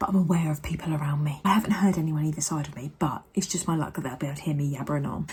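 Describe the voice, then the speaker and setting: A woman speaks quietly with a British accent. Her voice is somewhat breathy, with ordinary pitch variation. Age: 30s. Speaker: vlogger. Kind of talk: casual vlog monologue. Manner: speaking quietly.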